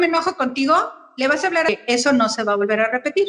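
High pitch from a woman, with ordinary variation in her pitch. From Mexico City. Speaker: Montessori educator. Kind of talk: interview.

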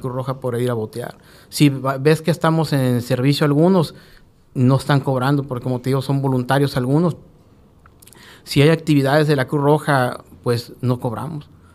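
Fairly even intonation at a moderate pace. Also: man. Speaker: Red Cross rescue coordinator. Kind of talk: radio interview. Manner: halting, with repetitions.

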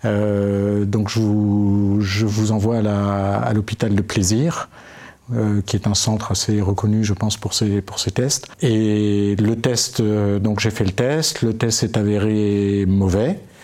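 Noticeable background noise sits behind a man with a fairly low pitch and very even loudness. He talks at a very slow pace with fairly even intonation. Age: 50s. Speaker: Alzheimer patient. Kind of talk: casual chat. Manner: halting.

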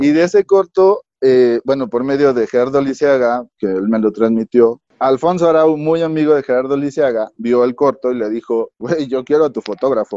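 A man speaks at a moderate pace with hardly any pauses, his medium-pitched voice dark and mellow in tone with ordinary pitch variation, recorded dry and close with no echo. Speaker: photographer and cinematographer. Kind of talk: casual chat. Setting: remote call from home.

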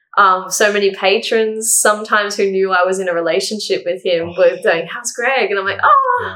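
Speaking in an Australian accent, a woman talks at a moderate pace and medium pitch. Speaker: university student sharing grief story. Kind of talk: casual interview, personal testimony. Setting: in-person at host's house. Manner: talkative.

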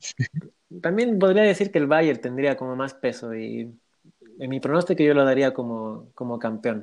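A man speaks in a medium pitch. His intonation is lively. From Bolivia. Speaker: football fan guest. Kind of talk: casual interview.

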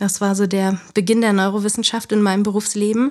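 A woman speaks in an ordinary speaking voice at a medium pitch and moderate pace, with fairly even intonation, in a very clean recording with a silent background. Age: 30s. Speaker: former news journalist, self-employed media consultant. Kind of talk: podcast interview.

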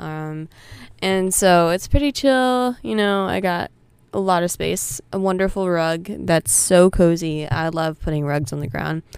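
A woman with an ordinary speaking voice speaks at a fairly slow pace in a fairly low pitch, her intonation lively, on a very clean recording with a silent background. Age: young. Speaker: podcast host, college student. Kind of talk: casual solo chat. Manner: many fillers.

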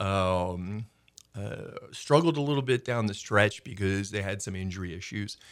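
A man with a plain, everyday voice speaks at a fairly slow pace, his loudness swinging widely. His pitch varies in an ordinary way, in a very clean recording with a silent background. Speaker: guest, football and local sports talker. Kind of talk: casual radio interview. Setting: radio studio.

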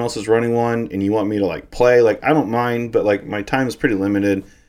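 A man talking at a very fast pace. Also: very clean recording, silent background. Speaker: podcast co-host. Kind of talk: casual chat.

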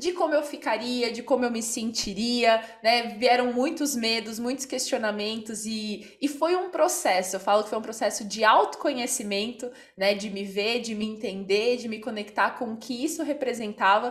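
A woman speaks at a moderate pace with a fairly high pitch and ordinary pitch variation, hardly pausing at all. Noticeable background noise runs behind her. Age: 20s. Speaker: podcast host. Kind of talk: casual chat.

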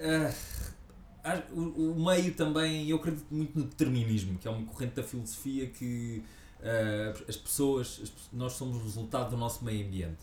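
Speaking at a moderate pace with a European Portuguese accent, a man uses lively intonation in a medium-pitched, somewhat breathy voice. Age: 40s. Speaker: actor and comedian. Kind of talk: casual interview.

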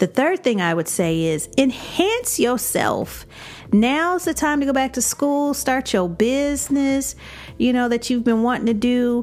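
In an American accent, the speaker sounds animated, with very wide pitch swings at a fairly slow pace over noticeable background noise. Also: woman, high pitch for a woman. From Chicago. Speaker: podcast host and life coach. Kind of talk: casual monologue.

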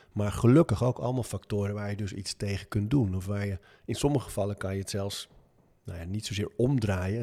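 A man's dark, mellow, somewhat breathy voice, fairly low in pitch, with fairly even intonation at a fairly quick pace, on a very clean recording with a silent background. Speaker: author and gym owner. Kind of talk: interview.

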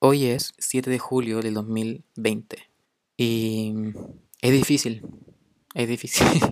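A man with a Chilean accent speaks very slowly in a flat monotone. He leaves long, frequent pauses. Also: medium pitch for a man. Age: young. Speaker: podcast host. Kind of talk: casual monologue. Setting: home recording during quarantine. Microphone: poor sound quality.

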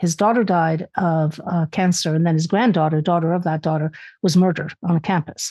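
Over a quiet background, a woman talks at a very fast pace in a somewhat breathy voice with a dark, mellow tone and fairly low pitch. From Canada, born in Spain. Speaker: author and lecturer. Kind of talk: casual chat.

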